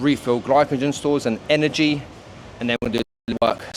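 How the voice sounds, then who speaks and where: A man with fairly even intonation talks at a fairly quick pace amid noticeable background noise. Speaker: fitness coach. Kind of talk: casual vlog narration.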